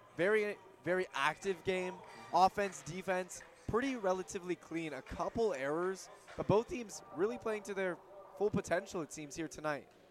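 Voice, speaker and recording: The speech shows ordinary pitch variation, with music in the background. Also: man, high pitch for a man. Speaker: play-by-play commentator. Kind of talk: live sports commentary. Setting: broadcast booth at arena. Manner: excited, animated, quick play-by-play delivery.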